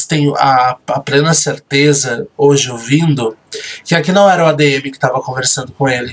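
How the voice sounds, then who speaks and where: Soft-spoken and moderately paced, a man talks with a fairly high pitch. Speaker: reality show host and admin. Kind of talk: recorded commentary.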